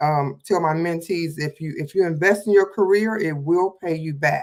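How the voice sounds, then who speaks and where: A woman talks in an ordinary speaking voice, fairly low in pitch with ordinary pitch variation. Her pace is moderate, and the recording is very clean with a silent background. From Detroit, Michigan. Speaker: hairstylist and makeup artist, mentor. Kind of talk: casual livestream chat.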